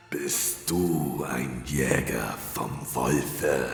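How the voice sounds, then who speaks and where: A man growls in a put-on character voice, very deep and low in pitch. Clear music plays in the background, and there is a clear echo. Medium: audio drama. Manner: gloating.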